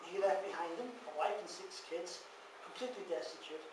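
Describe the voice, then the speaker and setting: Over noticeable background noise and audible room echo, a man talks with ordinary pitch variation. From Ireland. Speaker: ex-cult member and author. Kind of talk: public talk. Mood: sober, personal. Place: hall. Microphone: camera far.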